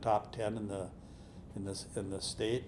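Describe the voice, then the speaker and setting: Here a man speaks with an Upper Midwest accent. His intonation is monotone and flat. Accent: Upper Midwest (Minnesota). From central Minnesota, US. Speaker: telecom company executive. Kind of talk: interview, reminiscing. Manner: halting, many repeated words.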